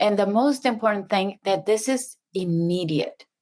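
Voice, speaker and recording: In a very clean recording with a silent background, a woman speaks with a Spanish accent. Her pitch is medium and her pace fairly slow. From Mexico. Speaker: subconscious mind facilitator. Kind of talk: interview.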